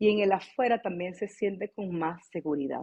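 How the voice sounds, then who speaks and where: A woman's ordinary speaking voice at a medium pitch, with ordinary pitch variation and a moderate pace. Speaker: voice teacher. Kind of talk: online class. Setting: video call.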